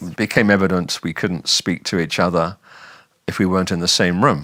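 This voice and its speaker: Speaking at a moderate pace, a man talks with a southern English accent. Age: 70s. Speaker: retiree with hearing loss. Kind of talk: testimony. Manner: halting.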